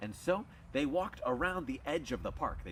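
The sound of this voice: The reading voice here is unforced.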